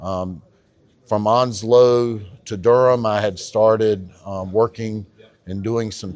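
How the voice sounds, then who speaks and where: A man's medium-pitched voice with a North Carolina accent and fairly even intonation. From North Carolina, Harnett County. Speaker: county tax assessor. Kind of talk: podcast interview. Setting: on camera at a conference.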